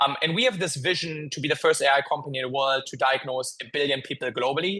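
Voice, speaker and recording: A bright, sharp tone at a very fast pace with fairly even intonation. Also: man. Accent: slight German. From Germany. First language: German. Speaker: tech company founder and CEO. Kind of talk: interview podcast. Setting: office. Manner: hesitant, many filler words.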